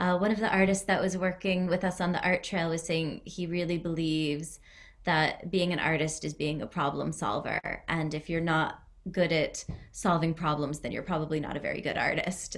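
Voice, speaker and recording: A woman with vocal fry talks at a moderate pace, her fairly low pitch held in fairly even intonation. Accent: American. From US Northeast (Connecticut). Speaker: arts centre director. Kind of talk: online presentation. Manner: relaxed.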